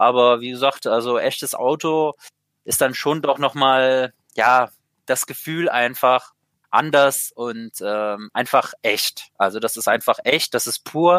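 A man talks at a very slow pace with a medium pitch and ordinary pitch variation. The recording is very clean with a silent background and a dry, close sound with no echo. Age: 20s. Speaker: sim racing driver. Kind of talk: interview. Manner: halting, many fillers.

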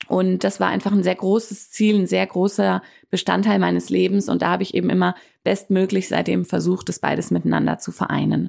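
A woman speaks at a fairly quick pace in a very clean recording with a silent background. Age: 30s. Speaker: life coach and podcast host. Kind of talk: solo podcast monologue. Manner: hesitant fillers (ähm).

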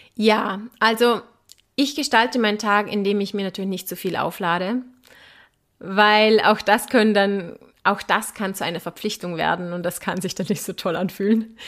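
The recording is very clean, with a silent background. A woman at medium pitch speaks at a moderate pace with fairly even intonation. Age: 30s. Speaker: commercial model and mindset guest. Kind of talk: casual interview chat.

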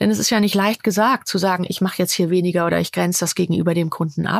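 A woman speaks with ordinary pitch variation in a dry, close sound with no echo. The recording is very clean, with a silent background. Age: 50s. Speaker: coach. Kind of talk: interview. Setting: at a host's home.

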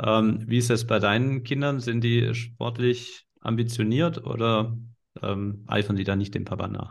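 Speaking with a Swabian accent, a man uses a medium pitch and fairly even intonation. His pace is fairly slow. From Swabia, southern Germany. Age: 40s. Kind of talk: casual interview.

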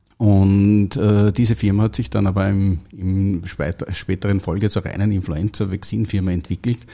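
On a very clean recording with a silent background, a man with an Austrian accent speaks with a fairly low pitch, a dark, mellow tone, fairly even intonation, very even loudness and hardly any pauses. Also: moderate pace. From Austria, Upper Austria. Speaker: biotech company founder and CEO. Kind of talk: interview. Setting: studio. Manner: halting, many fillers.

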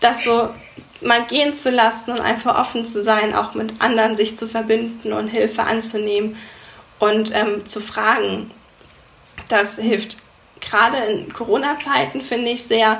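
Over noticeable background noise and audible room echo, a woman speaks at a fairly high pitch. Her intonation stays fairly even, and her fairly slow delivery has long, frequent pauses. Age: 20s. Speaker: photographer and business coach. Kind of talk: interview.

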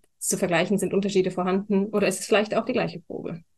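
Monotone and flat in intonation, a woman speaks at medium pitch over a quiet background. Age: 20s. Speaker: wine queen and trained winemaker. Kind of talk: casual chat during a wine tasting. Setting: studio, seated next to the host.

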